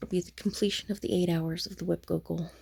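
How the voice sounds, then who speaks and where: Dark, mellow tone from a woman with a fairly low pitch at a fairly quick pace. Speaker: crafting vlogger. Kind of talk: casual vlog monologue. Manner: soft-spoken, talking low.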